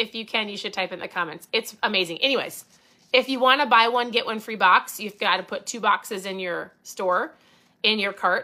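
Fairly quick and animated, a woman with an Upper Midwest accent speaks at a fairly high pitch with a bright, sharp tone and ordinary pitch variation, in a very clean recording with a silent background. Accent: Upper Midwest American. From Minnesota. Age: 40s. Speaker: podcast host and keto coach. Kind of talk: casual livestream talk.

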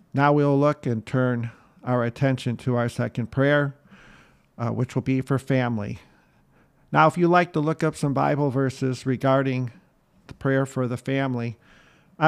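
With an ordinary speaking voice, a man at medium pitch talks at a moderate pace and with fairly even intonation on a very clean recording with a silent background. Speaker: podcast host. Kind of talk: guided prayer. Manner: fervent, earnest, devout.

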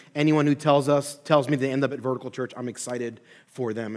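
A man with an American accent talks at a very fast pace with monotone, flat intonation. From Philadelphia, Pennsylvania. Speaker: pastor and seminary professor. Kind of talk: sermon-style lecture.

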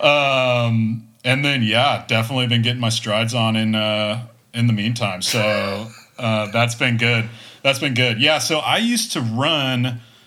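In an American accent, a man with a medium pitch speaks at a fairly slow pace in a bright, sharp tone with fairly even intonation, and audible room echo surrounds him. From Texas. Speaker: amateur runner. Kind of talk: casual chat.

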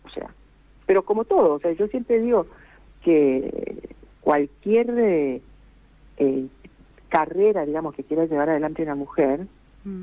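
Pausing often and at length, a woman speaks fairly slowly. Her fairly low voice carries lively intonation. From Costa Rica. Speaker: singer. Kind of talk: interview.

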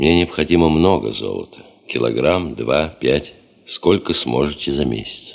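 Using a put-on character voice, a man speaks at an extremely low pitch with vocal fry, lively intonation and a fairly slow pace.

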